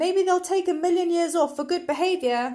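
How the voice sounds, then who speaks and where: Using a squeaky, put-on character voice at an extremely high pitch, a woman speaks at a moderate pace. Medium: read story. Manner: verbose, pompous.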